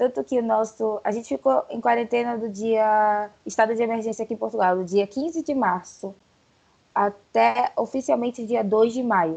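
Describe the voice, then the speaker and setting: With ordinary pitch variation and a moderate pace, a normal speaking voice is heard. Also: woman, fairly high pitch for a woman. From Brazil, Pará. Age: 20s. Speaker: journalist. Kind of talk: casual chat.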